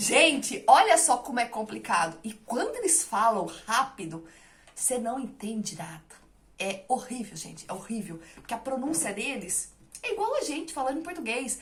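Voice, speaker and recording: Amid noticeable background noise, a woman talks at a moderate pace in a high pitch, with very wide pitch swings and big swings in loudness. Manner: relaxed, clipped words.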